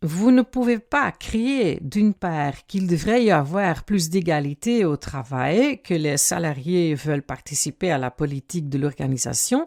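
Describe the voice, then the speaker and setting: In a very clean recording with a silent background and a dry, close sound with no echo, a woman with a Dutch accent speaks at a fairly slow pace with hardly any pauses, her fairly low pitch making very wide swings. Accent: Dutch-speaking accent in French. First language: Dutch (speaking French). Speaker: career coach and author. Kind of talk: podcast monologue.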